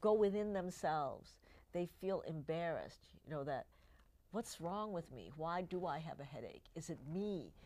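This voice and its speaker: Lively intonation and big swings in loudness, a dark, mellow tone at a fairly slow pace. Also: woman. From born in Cuba, Chinese, moved to US at six. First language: not English; English is her third language. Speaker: physician and health show host. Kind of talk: talk show interview.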